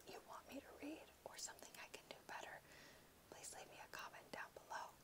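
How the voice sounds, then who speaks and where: Whispering, the speaker rushes along at a very fast pace. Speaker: ASMR reader. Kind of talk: casual talk to camera. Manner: whispered. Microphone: phone near.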